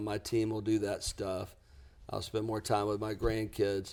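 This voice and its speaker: A Southern US accent comes through on a very clean recording with a silent background. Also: man. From US South, lower Alabama. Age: 60s. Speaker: business coach. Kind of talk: podcast interview.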